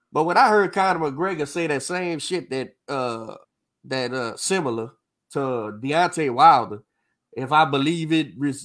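A man talks at a moderate pace with lively intonation in a normal speaking voice. The recording is very clean, with a silent background. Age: 40s. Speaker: boxing coach and podcast host. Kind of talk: casual chat. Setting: live stream.

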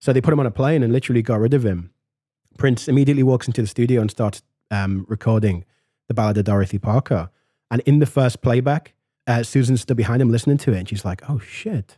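Over a very clean recording with a silent background, a man talks at a very fast pace in a somewhat breathy, dark, mellow tone, medium in pitch with ordinary pitch variation and a dry, close sound with no echo. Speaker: music podcast host. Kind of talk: casual chat.

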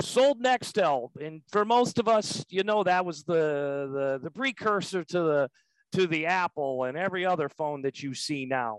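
At a moderate pace, a man with a fairly high voice and lively intonation speaks in a plain, everyday voice. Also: dry, close sound with no echo. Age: 50s. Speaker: packaging sales manager. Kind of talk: interview. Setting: home office.

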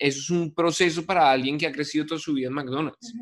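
A man's unremarkable speaking voice, fairly high-pitched, with fairly even intonation over a quiet background. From Colombia, Bogotá. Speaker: podcast host. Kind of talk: interview conversation.

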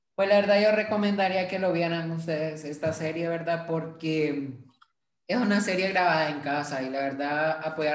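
Audible room echo surrounds a man with a fairly high pitch. He speaks at a moderate pace, his pitch varying in an ordinary way. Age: 18. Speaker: podcast host, graphic designer. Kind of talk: casual chat.

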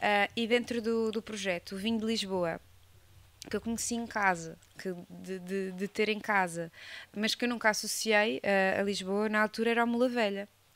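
A woman with an unremarkable speaking voice, medium in pitch, with fairly even intonation. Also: moderate pace. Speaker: geographer working in wine marketing. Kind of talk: casual chat.

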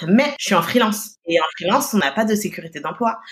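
At a fairly quick pace, a woman speaks in a somewhat breathy, animated tone with lively intonation. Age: 20s. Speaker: press agency co-founder. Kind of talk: interview.

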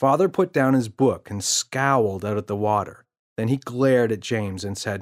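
The speaker reads aloud plainly, with ordinary pitch variation and a quiet background.

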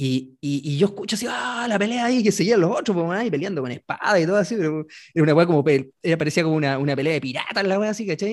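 With a Chilean accent, the speaker talks at a very fast pace, the pitch swinging very widely. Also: man, very clean recording, silent background. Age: 40s. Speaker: podcast host. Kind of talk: casual chat. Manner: animated.

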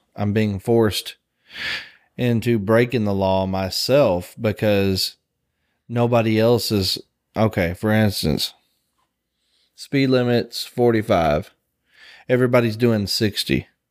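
Quiet and calm, a man with a Southern US accent speaks at medium pitch and a very slow pace, with ordinary pitch variation and long, frequent pauses on a very clean recording with a silent background. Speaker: podcast host. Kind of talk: casual chat. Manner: calm, quiet.

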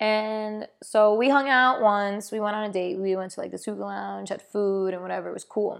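In an American accent, a woman uses an ordinary speaking voice at a medium pitch with ordinary pitch variation over a quiet background. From New York. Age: 20s. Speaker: podcast host, aspiring actor. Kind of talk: casual chat.

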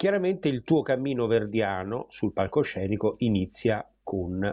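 A man talks in an unremarkable speaking voice with ordinary pitch variation. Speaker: music interviewer. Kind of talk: interview. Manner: formal.

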